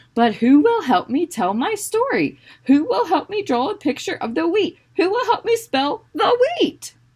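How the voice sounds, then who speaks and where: In a put-on character voice, the speaker talks at an extremely high pitch with very wide pitch swings. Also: moderate pace. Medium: read story.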